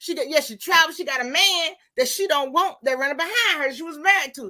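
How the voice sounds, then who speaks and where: A woman speaks in a raised, projected voice at an extremely high pitch, with an animated tone and lively intonation. Her fairly quick delivery has a bright, sharp tone. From Mississippi, US South. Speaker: live stream host. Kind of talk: casual chat.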